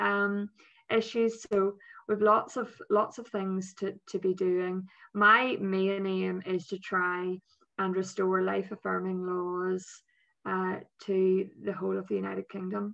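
In a Northern Irish accent, a woman speaks at a very slow pace. Her intonation is monotone and flat against a quiet background. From Northern Ireland. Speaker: politician. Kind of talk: interview. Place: home room. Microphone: video call.

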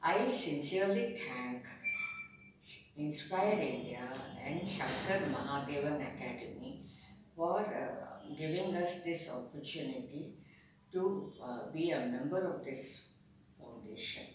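Amid strong room echo and light background noise, a woman speaks at a fairly slow pace and fairly low pitch with very wide pitch swings. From India. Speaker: senior music student. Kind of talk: interview answer. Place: office. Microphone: camera far.

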